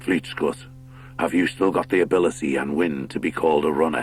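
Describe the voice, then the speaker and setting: A man's put-on character voice, very deep and low in pitch, over clear music in the background. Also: fairly quick pace. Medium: read story. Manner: grave, commanding.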